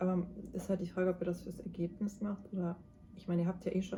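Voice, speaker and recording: A woman talks in a fairly low pitch with a dark, mellow tone, a somewhat breathy quality and monotone, flat intonation. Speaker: tarot card reader, mystic guide. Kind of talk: tarot reading to camera. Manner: soft-spoken at times, quiet in the second pile.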